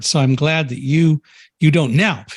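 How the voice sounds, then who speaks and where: Somewhat breathy, a man's voice carries an American accent. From United States. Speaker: podcast host. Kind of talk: podcast interview.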